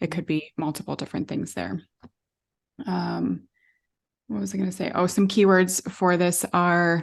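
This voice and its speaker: A woman speaks at a moderate pace with long, frequent pauses. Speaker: podcast co-host, tarot reader. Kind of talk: casual podcast discussion. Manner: halting, stumbling over words.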